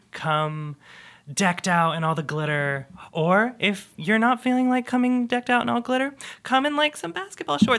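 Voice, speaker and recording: A man's high, raised, projected voice with a bright, sharp tone and very wide pitch swings at a moderate pace, in a very clean recording with a silent background. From small conservative town. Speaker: volunteer. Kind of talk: casual interview.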